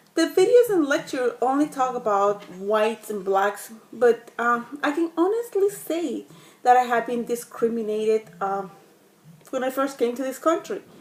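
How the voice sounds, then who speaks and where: Noticeable background noise sits behind a woman speaking at a moderate pace. Her high voice moves through very wide pitch swings. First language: Spanish. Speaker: student. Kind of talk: class discussion video monologue. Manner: halting, many fillers.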